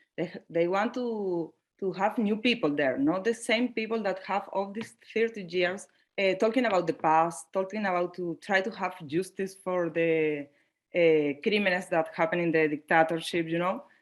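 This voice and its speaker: Against a quiet background, a woman with a non-native accent speaks at a medium pitch and a moderate pace, with ordinary pitch variation. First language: Spanish. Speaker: panelist. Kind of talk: panel discussion. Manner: halting.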